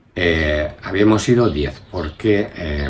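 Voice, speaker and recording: The voice carries ordinary pitch variation, with audible room echo and noticeable background noise. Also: man. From Spain, Burgos (Castile). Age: 70s. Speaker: grandfather interviewed about his life. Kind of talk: family oral history interview. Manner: hesitant, with many fillers and repetitions.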